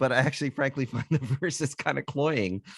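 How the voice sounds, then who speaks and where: In a quiet background with a dry, close sound and no echo, a man with a Canadian accent speaks at a fairly quick pace and a fairly high pitch. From Canada, Toronto. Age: 60s. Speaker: author and musician. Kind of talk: casual chat.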